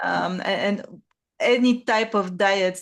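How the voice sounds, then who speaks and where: Against a quiet background, a woman speaks with a non-native accent and ordinary pitch variation. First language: not English. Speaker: podcast host, online writing coach. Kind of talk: interview conversation. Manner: halting, many fillers.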